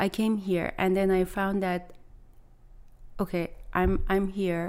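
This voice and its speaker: A woman with a Persian accent speaks at a very slow pace with a fairly low pitch and monotone, flat intonation. The recording is very clean, with a silent background. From Iran. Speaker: private chef. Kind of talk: interview. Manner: halting.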